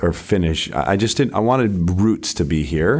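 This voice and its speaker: A man with an American accent. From Utah, Salt Lake City. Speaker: real estate agent and team leader. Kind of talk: interview.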